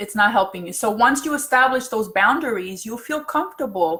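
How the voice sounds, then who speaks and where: This woman has an unremarkable speaking voice, a fairly high pitch, lively intonation and a moderate pace. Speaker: self-help speaker. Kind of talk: livestream talk.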